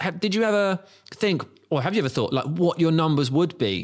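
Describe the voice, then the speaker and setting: On a very clean recording with a silent background, a man with an English accent speaks at a moderate pace with lively intonation. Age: 30s. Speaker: podcast host. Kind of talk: casual chat. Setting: stadium suite.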